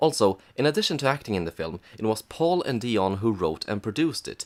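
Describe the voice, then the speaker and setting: Quiet speech at a moderate pace shows very wide pitch swings on a very clean recording with a silent background. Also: man. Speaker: film reviewer. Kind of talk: comedic review narration. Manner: quiet, subdued.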